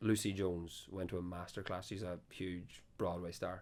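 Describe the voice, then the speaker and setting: In a Donegal accent, a man talks with a very deep, low pitch. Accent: Donegal Irish. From Ireland, Donegal. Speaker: folk band musician. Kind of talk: casual chat. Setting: after a gig at a venue. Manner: fast.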